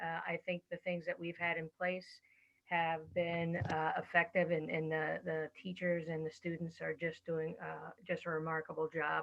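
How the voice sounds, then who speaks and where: A soft-spoken woman talks at a moderate pace with a fairly low pitch. Her intonation is monotone and flat. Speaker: school administrator. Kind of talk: meeting report. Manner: halting. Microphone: very quiet, headset not working.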